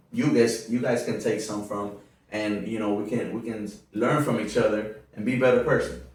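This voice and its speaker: Audible room echo surrounds a man speaking at a moderate pace. His medium-pitched voice stays monotone and flat. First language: Spanish. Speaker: podcast host. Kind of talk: casual interview. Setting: at a relative's home.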